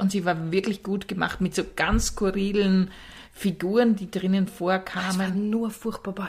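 Somewhat breathy woman's voice at a medium pitch. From rural Austria. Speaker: podcast co-host. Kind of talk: casual chat.

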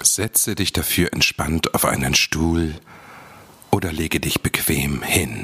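A soothing, gentle voice speaks at a very slow pace with ordinary pitch variation, recorded dry and close with no echo but with noticeable background noise. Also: man, very deep, low pitch for a man. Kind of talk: guided meditation. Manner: slow, soft, soothing, gentle; calm, unhurried, with long pauses.

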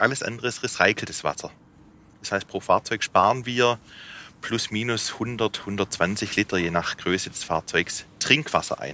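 Recorded with a dry, close sound and no echo, a man speaks at a fairly slow pace in a bright, sharp tone at a medium pitch. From Swabia, Remstal (southwest Germany). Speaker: company managing director. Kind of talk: explanatory on-site interview.

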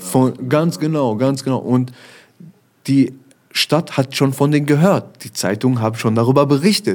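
A man talks at a fairly slow pace in a medium pitch with a dark, mellow tone and ordinary pitch variation. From Germany, Essen (Ruhr area). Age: 30s. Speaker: rapper. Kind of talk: interview.

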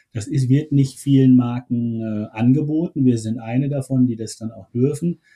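Dry and close with no echo, a man's somewhat breathy voice of medium pitch and dark, mellow tone moves at a moderate pace with fairly even intonation and hardly any pauses. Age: 50s. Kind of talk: interview. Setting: remote call from home.

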